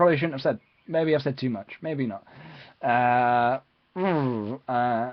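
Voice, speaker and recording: A man with an East of England accent speaks with ordinary pitch variation. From England, Peterborough. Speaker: YouTuber live streamer. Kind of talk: live stream Q&A. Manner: fast; hesitant, many fillers.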